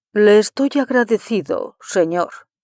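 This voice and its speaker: The voice is a put-on character with a fairly high pitch. Its delivery runs at a fairly slow pace. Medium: read story. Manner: terse, polite, reserved.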